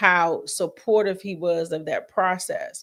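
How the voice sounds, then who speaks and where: This woman has an ordinary speaking voice, medium in pitch, with fairly even intonation. The recording is very clean, and the background is silent. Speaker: podcast guest. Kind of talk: casual chat. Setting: live-streamed video podcast.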